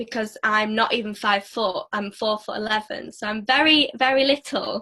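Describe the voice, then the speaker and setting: A woman speaks at a moderate pace in a northern English accent, her pitch fairly high. Her tone is bright and sharp, with ordinary pitch variation. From northern England. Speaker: network marketer and former dancer. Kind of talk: casual interview.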